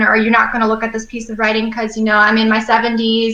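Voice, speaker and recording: A woman at a very fast pace, fairly high in pitch, over noticeable background noise. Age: 20s. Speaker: young adult author and editor. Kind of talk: interview. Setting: live stream show.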